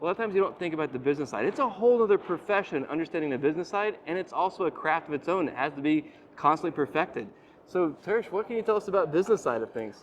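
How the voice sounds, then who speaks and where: A man's high-pitched voice at a very fast pace, with lively intonation. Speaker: HVAC channel host. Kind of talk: casual interview. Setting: trade expo floor.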